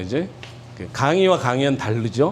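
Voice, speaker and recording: A man's medium-pitched voice with ordinary pitch variation, at a fairly slow pace, amid noticeable background noise and audible room echo. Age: 60s. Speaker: pastor. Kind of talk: lecture. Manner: informal, with many fillers.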